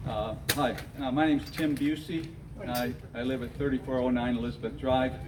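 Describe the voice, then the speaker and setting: A man speaks at a fairly quick pace with a Michigan accent, his pitch medium and his intonation fairly even. Room echo is audible, and there is noticeable background noise. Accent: Inland North American (Michigan). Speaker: retired school teacher. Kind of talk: public meeting speech. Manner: halting.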